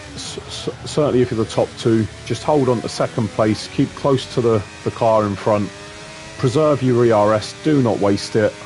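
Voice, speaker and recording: Music plays behind a voice that moves at a moderate pace with ordinary pitch variation. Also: man. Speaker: sim racing commentator. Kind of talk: live commentary.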